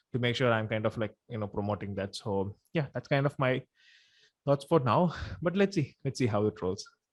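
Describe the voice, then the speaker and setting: Recorded with a dry, close sound with no echo and a quiet background, a man speaks fairly quickly at a medium pitch with lively intonation. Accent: Tamil. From India. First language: Tamil. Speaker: podcast host. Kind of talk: interview. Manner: casual, hesitant with fillers.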